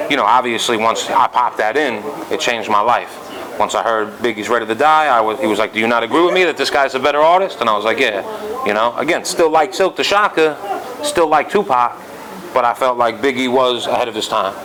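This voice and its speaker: Over noticeable background noise, a man with a New York accent talks very fast at a medium pitch, his intonation lively. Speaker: rapper. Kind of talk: interview. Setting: club.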